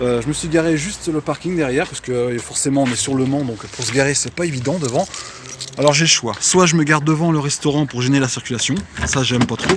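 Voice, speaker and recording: Someone talks at a very fast pace with ordinary pitch variation, and background noise is noticeable. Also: man, fairly high pitch for a man. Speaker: DJ and event host. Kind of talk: vlog. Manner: casual with many hesitations.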